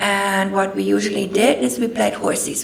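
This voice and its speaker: A woman speaks at a fairly slow pace with very wide pitch swings. Noticeable background noise and audible room echo are in the recording. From Germany. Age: 60s. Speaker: guest speaker. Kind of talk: personal testimony talk. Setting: talk to an audience with microphone.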